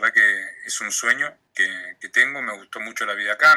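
A man speaks in a Rioplatense accent at a moderate pace. The sound is dry and close, with no echo. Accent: Argentine Rioplatense Spanish. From Argentina, Patagonia (Comodoro Rivadavia). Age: 20s. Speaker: graphic designer and radio announcer. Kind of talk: casual interview.

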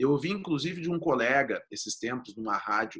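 A man with a bright, sharp tone and lively intonation. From Rio Grande do Sul, Brazil. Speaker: lawyer. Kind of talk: interview about data protection law. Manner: halting, repeats words.

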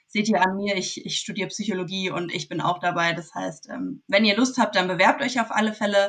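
At a fairly quick pace, a woman with a normal speaking voice talks at a medium pitch with ordinary pitch variation. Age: 20s. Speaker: psychology student. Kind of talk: interview.

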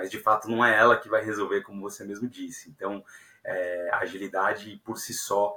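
His tone bright and sharp, a man speaks at a fairly low pitch and a moderate pace. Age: 30s. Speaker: software engineering leader. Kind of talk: podcast interview. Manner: hesitant, many fillers.

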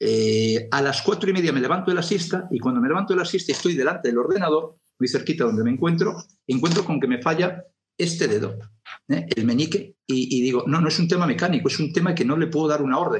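A man speaks very fast with vocal fry, his pitch fairly high and its variation ordinary. His loudness stays very even throughout. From Galicia (Lugo), Spain. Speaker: television producer. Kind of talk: interview.

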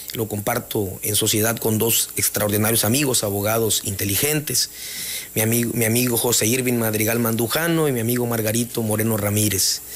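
Fairly quick delivery with fairly even intonation and very even loudness, against noticeable background noise. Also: man, medium pitch for a man. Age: 40s. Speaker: mayor-elect, lawyer. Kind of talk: radio interview. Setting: studio.

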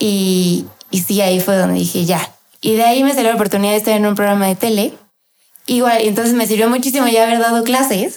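A woman's fairly high voice, very fast, with fairly even intonation and very even loudness. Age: 20s. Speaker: chef and food influencer. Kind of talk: interview.

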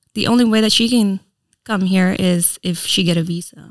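A woman with a Filipino accent speaks at a moderate pace with medium pitch and ordinary pitch variation. The recording is very clean, with a silent background. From Philippines, then Reno, US. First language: Tagalog. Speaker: influencer and entrepreneur. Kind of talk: casual interview chat. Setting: studio podcast.

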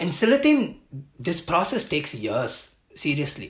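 This man talks at a high pitch, his voice ranging through very wide pitch swings. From Japan, Tamil family. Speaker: music analyst / content creator. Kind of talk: casual interview conversation. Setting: video call.

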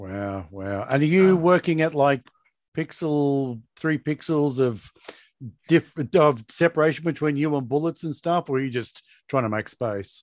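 The speaker is a man with an Australian accent. The sound is dry and close, with no echo. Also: lively intonation, moderate pace. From Tasmania, Australia. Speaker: podcast host. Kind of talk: casual chat.

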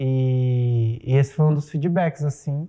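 This man's somewhat breathy voice has a dark, mellow tone and fairly even intonation. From Mato Grosso, Brazil. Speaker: theatre director and playwright. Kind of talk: casual chat.

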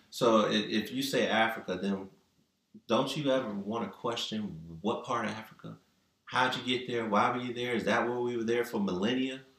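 There is audible room echo as a man speaks at a moderate pace and medium pitch. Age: 50s. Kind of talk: casual chat.

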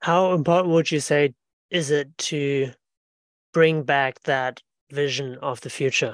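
Dry and close with no echo, a man's fairly high pitch comes at a fairly slow pace with fairly even intonation and long, frequent pauses. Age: 30s. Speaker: podcast host. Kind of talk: interview conversation. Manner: hesitant, repeating words.

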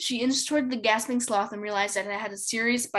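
The voice is plain reading aloud. It reads straight through the text.

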